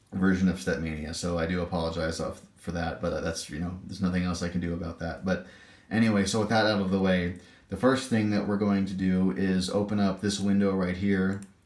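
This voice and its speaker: A man with a very deep, low pitch talks at a fairly quick pace. His intonation is fairly even, and the room echo is audible. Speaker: gaming tutorial YouTuber. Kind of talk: tutorial. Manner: halting, stammering.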